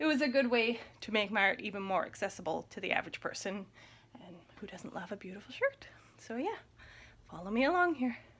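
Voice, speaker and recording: With a West Coast Canadian accent, a woman speaks at a fairly quick pace and a fairly high pitch, her intonation lively. Her loudness swings widely, and she takes long, frequent pauses. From Coast Salish First Nation, Gulf Islands, British Columbia. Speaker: artist. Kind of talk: tutorial. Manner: casual, friendly.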